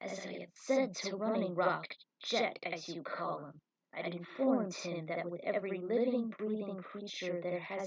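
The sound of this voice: An unforced reading voice carries ordinary pitch variation, with the background quiet.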